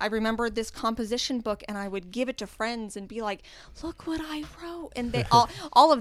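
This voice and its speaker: A woman speaks at a fairly quick pace in a normal speaking voice. Her pitch is fairly high, with ordinary variation. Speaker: podcast guest. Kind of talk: casual chat.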